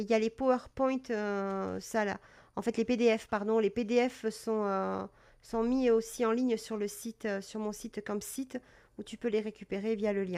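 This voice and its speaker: A woman's fairly high voice, dark and mellow in tone, with monotone, flat intonation. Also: moderate pace. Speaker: cat breeder and live-stream presenter. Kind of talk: live stream talk about cat health. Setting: live stream. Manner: hesitant, many fillers; calm.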